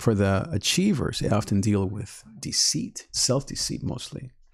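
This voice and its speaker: A very clean recording with a silent background carries a man's somewhat breathy voice at a fairly slow pace. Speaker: online life coach and podcast host. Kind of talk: live-streamed teaching talk. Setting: live stream. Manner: calm, repetitive.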